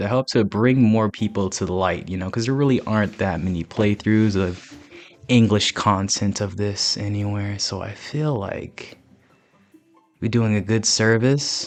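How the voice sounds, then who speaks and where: A man with a fairly low pitch talks at a fairly slow pace and with fairly even intonation while music plays in the background. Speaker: gaming YouTuber. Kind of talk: post-recorded gameplay commentary. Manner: relaxed, calm announcer-style delivery; casual with frequent fillers.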